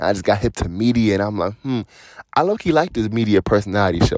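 In a very clean recording with a silent background and a dry, close sound with no echo, a man with an ordinary speaking voice and an American accent talks at a fairly quick pace, his fairly low pitch carrying lively intonation. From Cleveland, Ohio. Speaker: podcast host. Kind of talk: casual monologue.

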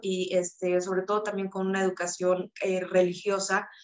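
This woman talks at a fairly slow pace. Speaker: author and self-knowledge coach. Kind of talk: testimony.

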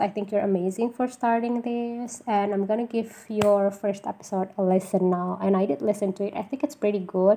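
Her tone dark and mellow, a woman of medium pitch speaks with an Indonesian accent and ordinary pitch variation. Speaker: podcaster. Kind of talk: solo podcast intro monologue. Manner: halting, with fillers and self-corrections.

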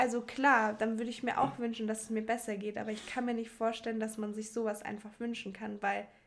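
Fairly high-pitched woman's voice, fairly quick and monotone, flat, with hardly any pauses. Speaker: podcast guest. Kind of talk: casual chat.

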